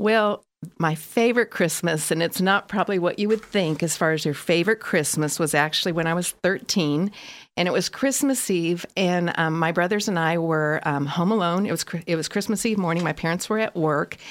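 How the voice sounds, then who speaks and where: With an American accent and an ordinary speaking voice, a woman talks at a fairly quick pace and fairly low pitch, with ordinary pitch variation and very even loudness, in a very clean recording with a silent background. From California. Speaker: marketing specialist. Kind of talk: casual chat.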